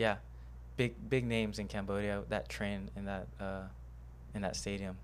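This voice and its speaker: A man with a fairly low voice and vocal fry talks at a moderate pace. His pitch swings very widely. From Houston, Texas. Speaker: martial arts coach. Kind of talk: casual chat. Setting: studio.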